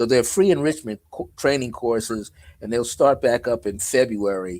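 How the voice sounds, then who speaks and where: Speaking at a moderate pace, a man with an unremarkable speaking voice uses a medium pitch and lively intonation. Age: 60s. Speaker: numerologist and author. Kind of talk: casual interview chat.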